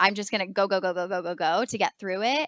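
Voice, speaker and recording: Her voice is medium-pitched with a bright, sharp tone and ordinary pitch variation. This woman is heard in a dry, close sound with no echo over a quiet background. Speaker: elementary school teacher. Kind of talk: podcast interview.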